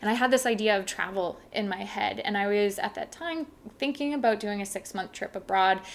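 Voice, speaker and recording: This is a plain, everyday voice with a Canadian accent. It moves at a fairly quick pace with ordinary pitch variation. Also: woman. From Canada, Saskatchewan. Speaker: travel blogger. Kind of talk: casual chat.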